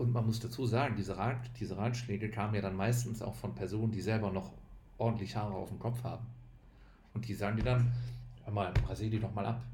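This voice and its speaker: A man with a fairly low pitch and a dark, mellow tone talks very fast in a flat monotone, somewhat breathy, with long, frequent pauses and audible room echo. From Düsseldorf, western Germany. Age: 30s. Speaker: bald podcast guest. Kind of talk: casual chat.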